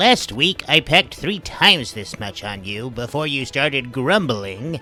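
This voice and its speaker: A man uses a put-on character voice at medium pitch, with very wide pitch swings and big swings in loudness. He talks at a moderate pace over clear background noise. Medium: read story. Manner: warm, good-humoured.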